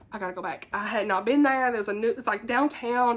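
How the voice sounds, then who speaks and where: A woman's high, animated voice in a Southern US accent, with ordinary pitch variation. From US South. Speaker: book YouTuber. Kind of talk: casual chat. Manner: fast.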